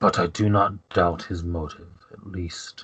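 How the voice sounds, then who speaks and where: A man's put-on character voice, very deep and low, at a fairly slow pace. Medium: actual play. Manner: formal, haughty.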